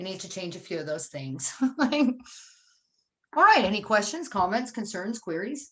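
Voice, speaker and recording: A woman's animated, medium-pitched voice at a moderate pace, with very wide pitch swings, big swings in loudness, long and frequent pauses, and audible room echo. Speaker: social worker and harm reduction advocate. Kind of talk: conference presentation.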